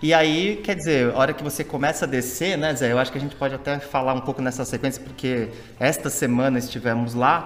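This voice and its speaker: This is a normal speaking voice with ordinary pitch variation. It goes at a fairly quick pace with hardly any pauses. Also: man, medium pitch for a man. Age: 40s. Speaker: podcast co-host. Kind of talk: casual chat.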